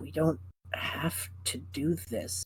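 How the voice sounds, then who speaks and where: A man's put-on character voice, raspy and very deep in pitch, with lively intonation. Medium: actual play. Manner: quiet, reluctant.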